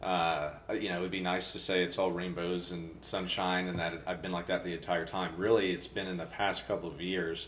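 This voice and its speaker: There is audible room echo as a man with a very deep, low pitch speaks at a fairly quick pace. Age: 20s. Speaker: incoming podcast host sharing faith story. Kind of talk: casual faith interview. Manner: halting, many repetitions.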